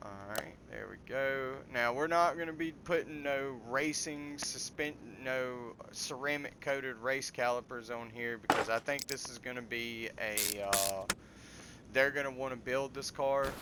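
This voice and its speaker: A man with a Southern US accent talks at a fairly slow pace and medium pitch, his intonation fairly even but his loudness swinging widely. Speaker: gaming video creator. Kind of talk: gameplay commentary. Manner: casual, with hesitations and restarts.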